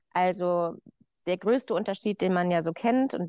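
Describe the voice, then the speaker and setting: In an ordinary speaking voice, a woman talks at a moderate pace and medium pitch, recorded dry and close with no echo against a quiet background. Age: 30s. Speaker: farmer. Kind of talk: casual chat.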